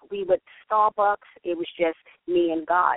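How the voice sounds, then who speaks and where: This is a woman speaking. She has a New York accent. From New York, the Bronx. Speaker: author and church singles director. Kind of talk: radio interview by phone.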